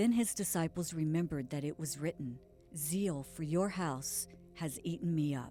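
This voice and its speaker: Over music in the background, a woman with a very deep, low pitch speaks at a moderate pace with ordinary pitch variation. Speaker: audiobook reader. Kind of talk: scripture audiobook reading.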